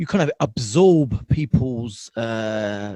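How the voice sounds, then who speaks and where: A man with a South London accent is heard in a dry, close sound with no echo. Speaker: podcast host. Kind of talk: casual interview chat. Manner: halting, many fillers.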